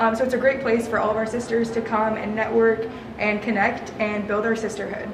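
With an American accent, a woman talks at a fairly quick pace and fairly high pitch in a flat monotone, amid audible room echo and noticeable background noise. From Nebraska, US Midwest. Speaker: university student. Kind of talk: casual interview. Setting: campus student union.

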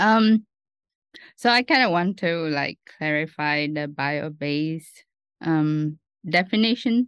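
With a Vietnamese accent and lively intonation, the speaker talks at a very slow pace with long, frequent pauses. The sound is dry and close with no echo, over a quiet background. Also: woman, very deep, low pitch for a woman. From Vietnam, Ho Chi Minh City. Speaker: doctoral student researcher. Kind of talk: interview.

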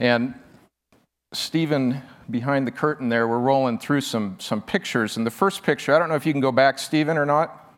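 A man with an American accent has an unremarkable speaking voice and medium pitch. He talks at a moderate pace with ordinary pitch variation. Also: very clean recording, silent background. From Nebraska. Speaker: wildlife photographer. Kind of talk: conference talk.

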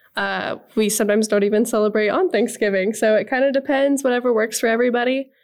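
Against a quiet background, a woman with a Midwestern US accent talks at a very fast pace, her fairly high pitch showing ordinary variation and her loudness very even. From Nebraska. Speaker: agriculture podcast co-host. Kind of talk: casual chat.

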